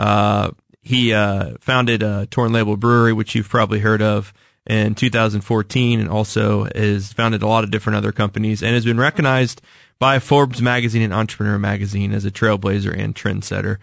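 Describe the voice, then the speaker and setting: Against a quiet background, a man talks fairly quickly at a fairly low pitch, in an unremarkable speaking voice with fairly even intonation and very even loudness. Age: 30s. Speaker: radio host. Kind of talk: interview. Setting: radio studio.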